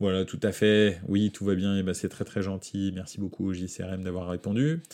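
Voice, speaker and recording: A man speaks fairly slowly in a very deep, low pitch with a dark, mellow tone. The recording is very clean, with a silent background. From France. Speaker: football podcast host. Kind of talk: casual chat. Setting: live stream. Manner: halting, many fillers.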